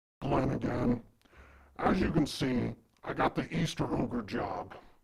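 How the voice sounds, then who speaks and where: A raspy, put-on character voice from a man, medium in pitch and fairly slow. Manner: weary, complaining.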